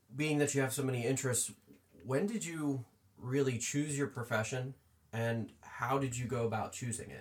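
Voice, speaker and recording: A somewhat breathy man with an American accent talks at a moderate pace, with a medium pitch and ordinary pitch variation. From US Northeast, Pennsylvania farmland. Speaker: podcast co-host, interviewer.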